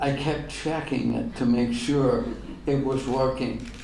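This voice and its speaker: Amid noticeable background noise and audible room echo, a man with an American accent speaks in a monotone, flat intonation. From Ireland. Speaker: pastor. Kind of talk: Q&A at a luncheon talk.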